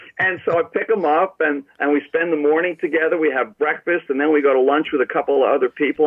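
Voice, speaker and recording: A man talks at a very fast pace. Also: hardly any pauses, very even loudness. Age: 60s. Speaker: author and baseball law expert. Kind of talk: interview.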